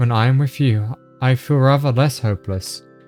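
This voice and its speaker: Music plays in the background. A man at medium pitch speaks at a moderate pace with fairly even intonation. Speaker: reading a story game aloud with a co-player, voicing characters.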